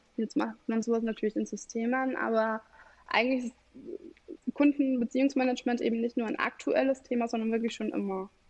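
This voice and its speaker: Her voice is an ordinary speaking voice, fairly high in pitch, as this woman moves at a fairly quick pace with fairly even intonation. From Bavaria, Germany. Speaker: customer relationship manager. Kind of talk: podcast interview.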